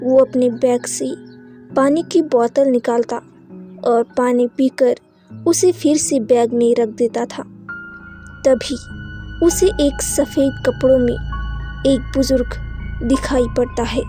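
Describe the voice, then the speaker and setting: A woman speaks with long, frequent pauses while music plays in the background. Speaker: voice-over artist. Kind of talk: horror story narration.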